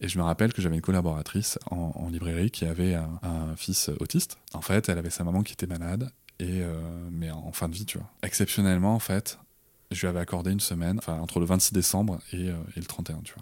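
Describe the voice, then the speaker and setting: A man talks at a fairly quick pace in a very deep, low voice with a dark, mellow tone and fairly even intonation. The recording is very clean, with a silent background. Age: 30s. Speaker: father and entrepreneur. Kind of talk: casual interview. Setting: improvised studio.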